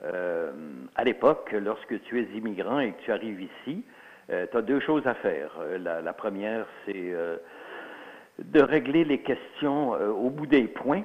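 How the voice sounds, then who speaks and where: Speaking at a very slow pace, a man with an Alsatian accent uses a medium pitch, lively intonation, and big swings in loudness. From Alsace, then Quebec from the 1950s. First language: Alsatian (speaking French). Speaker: author and historian. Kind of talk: interview. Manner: hesitant, many fillers.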